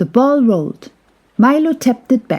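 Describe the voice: At a slow pace, a woman speaks in a fairly high voice.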